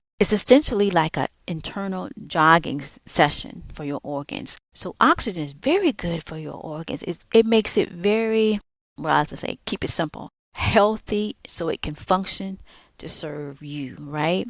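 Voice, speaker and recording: A woman with a Southern US accent speaks at a moderate pace in a fairly low pitch, with lively intonation and big swings in loudness, in a very clean recording with a silent background and a dry, close sound with no echo. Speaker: podcast host. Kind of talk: motivational podcast talk. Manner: casual, conversational; stumbles over long words.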